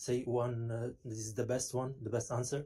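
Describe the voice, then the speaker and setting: A man speaks at a moderate pace with a somewhat breathy, dark and mellow tone at a medium pitch. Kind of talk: heated debate. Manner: halting, stammering.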